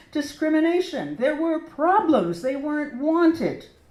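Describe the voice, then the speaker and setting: With an American accent, a woman speaks at a high pitch. Noticeable background noise and audible room echo fill the recording. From United States. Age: 70s. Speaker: portrait painter. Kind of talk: speech to an audience. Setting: gallery opening with audience in a church. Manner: animated.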